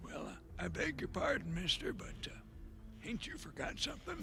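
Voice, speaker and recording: Over clear background noise, a man does a cartoonish character voice at a fairly quick pace. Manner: folksy, hesitant.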